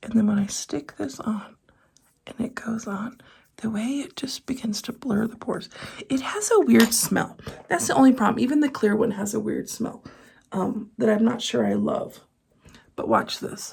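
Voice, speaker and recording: This voice has vocal fry, ordinary pitch variation and a moderate pace broken by long, frequent pauses. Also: woman, fairly high pitch for a woman. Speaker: beauty vlogger. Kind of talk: casual haul video chat. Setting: home filming room. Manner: soft-spoken.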